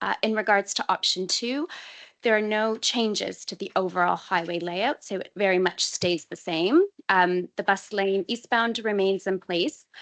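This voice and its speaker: At a moderate pace and medium pitch, a woman with a normal speaking voice and ordinary pitch variation sounds dry and close with no echo. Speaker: council transport officer. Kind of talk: committee presentation.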